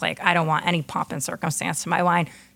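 With an American accent, a woman speaks at a fairly low pitch over noticeable background noise. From US West Coast, San Francisco. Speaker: chef and restaurant owner. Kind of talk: casual interview conversation.

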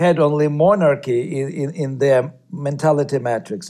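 The man's pitch is fairly high, with ordinary variation. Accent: Russian. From Ukraine. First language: Russian. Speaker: novelist and journalist. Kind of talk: radio interview.

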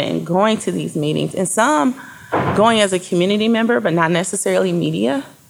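A woman keeps a moderate pace, with noticeable background noise present throughout. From Flint, Michigan. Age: 40s. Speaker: journalist and publisher. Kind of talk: interview conversation.

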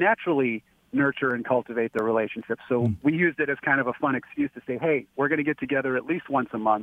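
A man speaks in a plain, everyday voice with an American accent. His pitch is medium, with ordinary pitch variation. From Dearborn, Michigan. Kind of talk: casual chat. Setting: phone call.

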